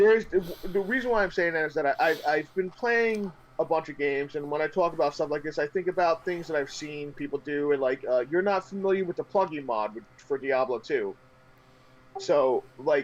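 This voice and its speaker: A loud man with a New York accent, high-pitched for a man, with lively intonation at a moderate pace. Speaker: gaming streamer. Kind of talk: casual chat. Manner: loud, intense; animated.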